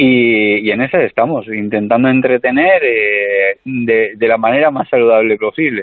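Speaking at a fairly slow pace, a man uses a medium pitch with ordinary pitch variation. His loudness stays very even, with hardly any pauses. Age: 30s. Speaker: comedian. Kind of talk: casual chat. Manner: animated.

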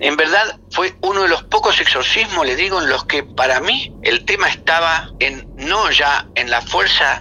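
A man talks at a fairly slow pace with lively intonation. Noticeable background noise runs under his voice. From Latin America. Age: 50s. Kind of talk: interview.

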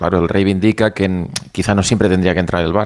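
This man's voice is very deep and low in pitch. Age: 50s. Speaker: football pundit. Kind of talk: heated debate.

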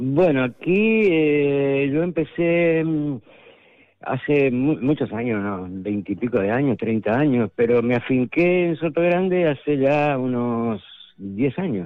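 A man speaks at a very slow pace with lively intonation. His pitch is fairly high. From Argentina. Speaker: artist. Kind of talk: radio interview.

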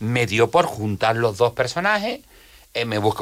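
In a very clean recording with a silent background, a man of medium pitch speaks at a moderate pace with lively intonation. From Jerez de la Frontera, Andalusia. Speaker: comedian. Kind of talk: casual chat. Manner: animated.

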